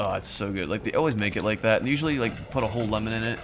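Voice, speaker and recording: A man's medium-pitched, animated voice with ordinary pitch variation, over noticeable background noise. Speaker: let's play gamer. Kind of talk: gameplay commentary.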